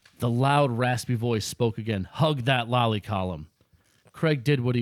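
In a natural reading voice with ordinary pitch variation, the speech plays over a quiet background.

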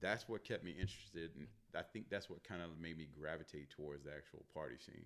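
With an American accent, a man talks very fast in a very deep, low voice with vocal fry and ordinary pitch variation. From Northern Virginia, DC area (Manassas). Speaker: videographer and photographer. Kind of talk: casual chat. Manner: loud.

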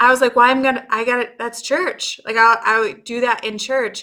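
The recording is very clean, with a silent background. A woman with a high pitch and a bright, sharp tone speaks at a fairly quick pace. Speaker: podcast host. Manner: warm, enthusiastic.

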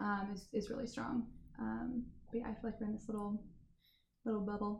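A woman's voice with vocal fry and an American accent. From US Midwest, Indiana. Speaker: restaurant and wine bar owner. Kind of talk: casual interview chat.

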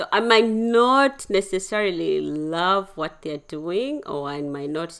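A woman speaks at a very slow pace. The recording is very clean, with a silent background. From Uganda and Kenya. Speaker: community elder. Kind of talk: casual chat. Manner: gentle.

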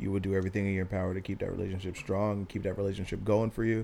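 The speech runs at a very fast pace. Its intonation stays fairly even. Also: man. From small town. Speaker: podcast co-host. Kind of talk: casual chat.

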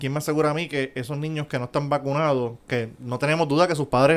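In a very clean recording with a silent background, a man talks at a fairly quick pace with a fairly high pitch; an ordinary speaking voice. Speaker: podcast co-host. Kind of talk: casual banter podcast.

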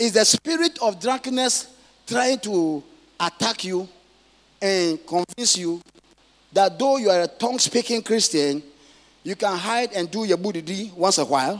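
High-pitched male voice with lively intonation. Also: fairly slow pace.

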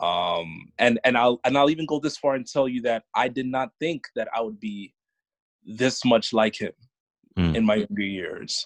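A man with an American accent speaks at a medium pitch with lively intonation, a plain, everyday voice in a dry, close sound with no echo. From New York (Bronx). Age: young. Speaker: podcast guest sharing family story. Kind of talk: casual interview.

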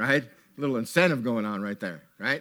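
The voice has an animated tone. Its sound is bright and sharp. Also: man. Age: 60s. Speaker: preacher. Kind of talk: sermon. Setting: church with congregation.

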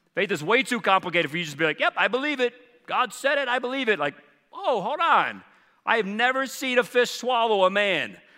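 A man with an American accent uses a raised, projected voice at an extremely high pitch, bright and sharp in tone. He sounds animated, moving at a fairly quick pace with very wide pitch swings. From US South, Charleston. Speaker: pastor. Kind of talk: sermon.

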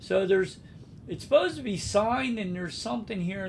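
Noticeable background noise surrounds a man who talks at a fairly quick pace in a high voice. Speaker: podcast host, travel agent. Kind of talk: casual chat. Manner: stutters at times.

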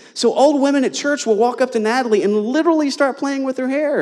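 Over noticeable background noise, a man with an extremely high pitch and lively intonation speaks at a very fast pace. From US, Eastern Kentucky (Appalachia). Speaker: visiting pastor. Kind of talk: sermon. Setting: church.

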